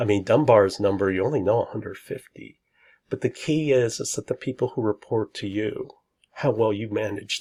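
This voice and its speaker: A man speaks quietly at a moderate pace. The recording is very clean with a silent background, and the sound is dry and close with no echo. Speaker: lecturer. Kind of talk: lecture.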